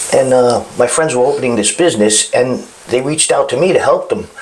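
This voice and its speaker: A man with a Brooklyn accent at a moderate pace, amid noticeable background noise. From Brooklyn, New York. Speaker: chef. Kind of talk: casual chat.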